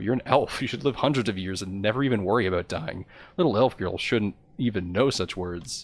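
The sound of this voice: The voice is an unforced reading voice.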